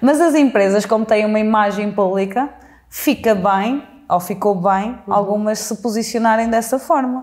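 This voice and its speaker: Set against a quiet background, the delivery keeps a moderate tempo and ordinary pitch variation. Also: woman, fairly high pitch for a woman. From central Portugal (Mangualde); Portugal. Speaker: social media creator and interviewer; social media creator, interviewer. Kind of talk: interview. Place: home room. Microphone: lapel.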